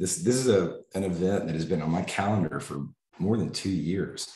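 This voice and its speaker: A man with an American accent speaks in a very deep, low pitch with ordinary pitch variation. His moderate pace is heard with audible room echo. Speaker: family medicine professor. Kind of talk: lecture. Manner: halting.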